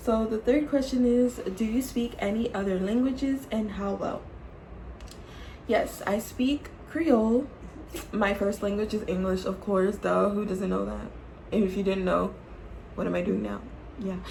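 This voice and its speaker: A woman with an American accent and an animated tone, medium pitch with ordinary variation, a moderate pace and long, frequent pauses, amid noticeable background noise and audible room echo. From Florida, US (Jacksonville). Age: 20s. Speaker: YouTuber, nursing home worker. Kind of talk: casual Q&A vlog.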